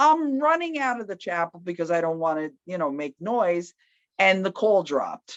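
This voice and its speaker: A loud, animated woman's voice at medium pitch, with very wide pitch swings, a moderate pace and a dry, close sound with no echo. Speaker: EMT, interviewed with her partner. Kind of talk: storytelling in a couple's interview.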